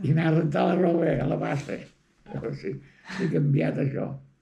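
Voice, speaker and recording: A man speaks in a fairly high pitch with lively intonation. His tone is dark and mellow, with vocal fry. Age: 80s+. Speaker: rural villager. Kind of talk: interview answer.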